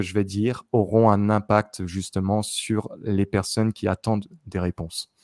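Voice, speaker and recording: A man talks at a fairly low pitch. The background is quiet, and the sound is dry with no echo. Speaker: YouTuber psychic. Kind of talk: casual chat with clairvoyant readings. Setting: video recording with screen backdrop. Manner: many filler sounds and hesitations. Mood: calm, reflective. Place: home room. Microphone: studio mic.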